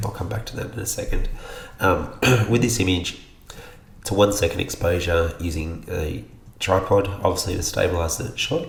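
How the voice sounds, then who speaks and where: Speaking with an Australian accent at a moderate pace, a man uses a fairly low pitch with ordinary pitch variation and long, frequent pauses over noticeable background noise. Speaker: photographer. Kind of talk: software tutorial narration. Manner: casual, hesitant.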